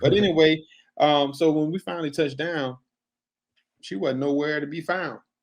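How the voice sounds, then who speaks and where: This is a man with an American accent. His pitch is fairly high. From US South, Mobile, Alabama. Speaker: podcast guest. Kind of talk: casual interview chat. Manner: halting, many false starts.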